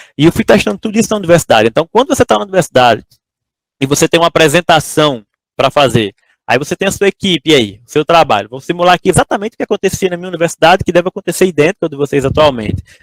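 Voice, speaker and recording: Recorded dry and close with no echo, a man talks at a very fast pace in a high voice with very wide pitch swings. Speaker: entrepreneur giving a talk to engineering students. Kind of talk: lecture. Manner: casual, conversational.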